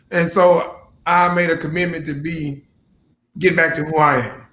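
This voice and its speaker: A man speaks loudly with a bright, sharp tone and a high pitch. His intonation is fairly even. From Louisiana. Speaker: business owner and military veteran. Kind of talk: casual interview.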